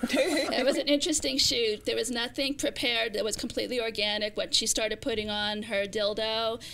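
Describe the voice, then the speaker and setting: A woman with an American accent speaks at a fairly quick pace with hardly any pauses. Her fairly high pitch has a bright, sharp tone. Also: ordinary pitch variation. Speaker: YouTube cooking personality. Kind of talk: casual interview.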